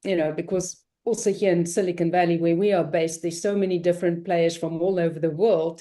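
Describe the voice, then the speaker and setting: In a British accent, a woman speaks with a fairly low pitch, a dark, mellow tone and fairly even intonation. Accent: British-sounding. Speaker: podcast host. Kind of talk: interview.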